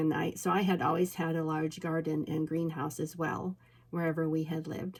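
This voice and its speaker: A woman with a slight Minnesota accent speaks at a fairly quick pace in a very deep, low voice. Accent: slight Minnesota inflection. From Alaska. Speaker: peony farmer. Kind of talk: casual storytelling vlog. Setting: indoors at home.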